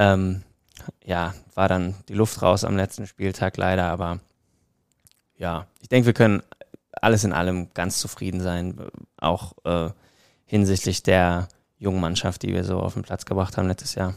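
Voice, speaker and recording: Pausing long and often, a man with a very deep, low voice speaks at a moderate pace with fairly even intonation. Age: 20s. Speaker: amateur footballer and model. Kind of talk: casual chat.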